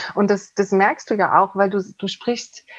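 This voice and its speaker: A woman speaks at a medium pitch. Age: 50s. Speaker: couples therapist. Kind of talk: interview. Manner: halting.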